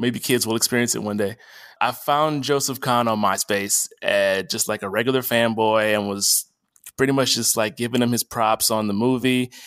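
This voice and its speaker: A man with an American accent talks at medium pitch and a moderate pace. His loudness is very even and his intonation fairly even. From Texas (Dallas), from age nine. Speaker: film and music video editor. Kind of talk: casual interview conversation. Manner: hesitant, many fillers and repetitions.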